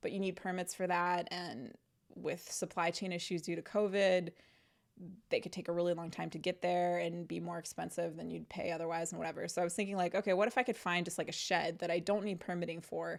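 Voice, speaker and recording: Delivered at a very fast pace with vocal fry, the voice comes through on a very clean recording with a silent background. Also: woman. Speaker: podcast host. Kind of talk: casual monologue. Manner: rambling, hesitant with fillers; softening voice.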